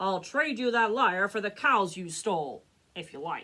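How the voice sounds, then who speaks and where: In a put-on character voice, a woman growls at a medium pitch. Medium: read story.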